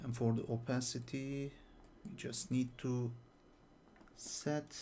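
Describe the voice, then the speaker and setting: A man speaks at a very slow pace in a medium pitch with fairly even intonation. His voice is somewhat breathy, with a dark, mellow tone. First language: not English. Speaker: 3D artist. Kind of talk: tutorial. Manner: hesitant, with fillers.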